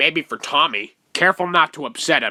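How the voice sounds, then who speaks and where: Using a cartoonish character voice, a man speaks at a moderate pace. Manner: talkative, rambling.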